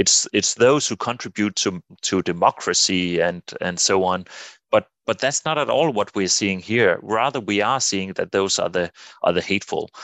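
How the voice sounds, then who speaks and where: A man with a Danish accent speaks at a moderate pace. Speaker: political scientist and psychologist. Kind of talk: interview. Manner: halting, many repeated words.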